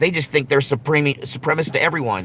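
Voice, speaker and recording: An animated man with a Southern accent and a bright, sharp tone. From US South. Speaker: live-stream commentator. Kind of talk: live stream chat.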